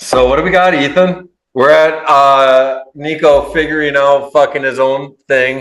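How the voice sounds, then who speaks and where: With an Upper Midwest accent, a man speaks at a fairly slow pace and a fairly high pitch. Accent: Upper Midwest American. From Minnesota, US. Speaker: podcast host. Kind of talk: casual interview chat. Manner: animated.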